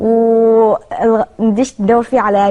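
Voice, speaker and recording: A woman's fairly high voice with a Kuwaiti accent and fairly even intonation. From Kuwait, Chinese parents. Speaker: interviewee. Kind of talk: interview.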